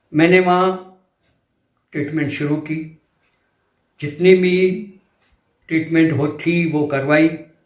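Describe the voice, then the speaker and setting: With audible room echo, the speech is monotone and flat, broken by long, frequent pauses. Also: man, fairly high pitch for a man. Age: 70s. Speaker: patient giving a testimonial. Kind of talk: testimony.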